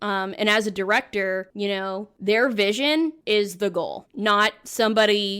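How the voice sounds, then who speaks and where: The recording is very clean with a silent background, carrying an ordinary speaking voice. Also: woman. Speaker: anime voice actress. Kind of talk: interview answer.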